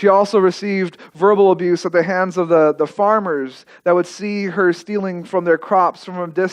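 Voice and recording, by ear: The speaker reads aloud in a natural voice. Intonation stays fairly even.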